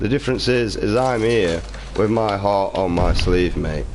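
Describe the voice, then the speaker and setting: A man with a British accent talks at a fairly slow pace and a fairly low pitch. Noticeable background noise and audible room echo are present. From Britain. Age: 20s. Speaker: gaming streamer. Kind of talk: live stream rant. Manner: animated.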